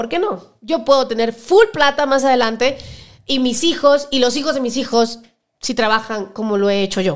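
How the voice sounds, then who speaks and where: Moderately paced speech from a woman, high in pitch with ordinary pitch variation. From Cuba. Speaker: actress and singer. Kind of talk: casual interview chat. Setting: studio.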